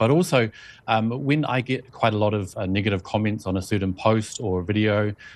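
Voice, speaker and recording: With a New Zealand accent, a man speaks at a fairly low pitch with ordinary pitch variation. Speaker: journalist and video blogger. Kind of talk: interview.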